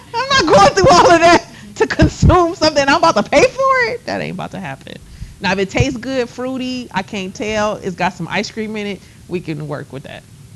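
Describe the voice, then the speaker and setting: A woman speaks in an animated tone, with big swings in loudness. Noticeable background noise runs underneath. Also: fairly quick pace. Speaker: college instructor. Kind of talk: lecture. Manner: fast.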